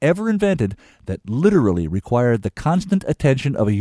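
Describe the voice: Someone reads a text out plainly.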